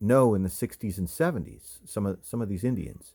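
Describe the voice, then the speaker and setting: A man is speaking. His pace is moderate. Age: 50s. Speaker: toy collector YouTuber. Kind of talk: casual show-and-tell video. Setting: home video, camera on hands. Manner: casual, halting with repetitions.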